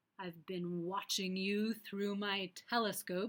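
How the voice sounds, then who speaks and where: Using a put-on character voice, a woman booms at a fairly slow pace in a medium pitch, her intonation monotone and flat. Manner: booming.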